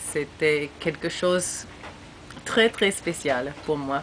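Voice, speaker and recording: Against noticeable background noise, someone speaks very slowly with an English accent. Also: woman. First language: English (speaking French). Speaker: former exchange student. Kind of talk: recorded video message. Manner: halting.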